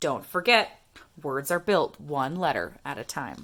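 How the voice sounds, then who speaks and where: A woman's put-on character voice, sing-song and very deep and low in pitch, at a fairly slow pace. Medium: read story. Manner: chirpy, lively, sing-song.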